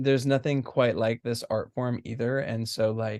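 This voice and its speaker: Pitched in the medium range, a man speaks with a dark, mellow tone. He keeps a moderate pace and fairly even intonation. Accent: American. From US, Southern California. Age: 20s. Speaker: stage actor. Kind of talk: casual chat. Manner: halting, many fillers.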